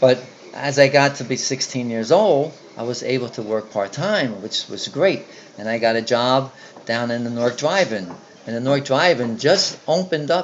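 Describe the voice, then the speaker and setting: A man with an American accent, medium pitch and lively intonation, over noticeable background noise. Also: moderate pace. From Newark, New Jersey. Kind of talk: interview answer. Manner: casual, hesitant.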